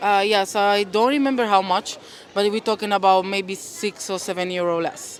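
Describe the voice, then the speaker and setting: With fairly even intonation and a medium pitch, a woman talks against noticeable background noise. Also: moderate pace. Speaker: street interviewee. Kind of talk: casual interview.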